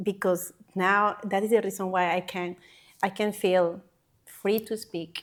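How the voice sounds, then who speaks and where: At a fairly slow pace, a woman with a Panamanian accent speaks at a fairly low pitch with monotone, flat intonation. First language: Spanish. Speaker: healthcare worker. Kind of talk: interview answer.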